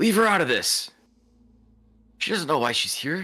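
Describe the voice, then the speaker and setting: A man puts on a character voice at a high pitch. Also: moderate pace. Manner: commanding.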